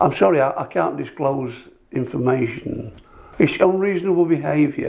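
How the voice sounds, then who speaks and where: A man's speech comes through with noticeable noise in the background. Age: 70s. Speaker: retired policeman in a GP consultation. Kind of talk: recorded consultation. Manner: halting, stammering.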